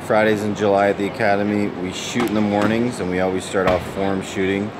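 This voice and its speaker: A man speaks at a fairly quick pace. Noticeable background noise runs under his voice. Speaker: basketball coach. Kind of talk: tutorial commentary. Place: hall. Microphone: phone near.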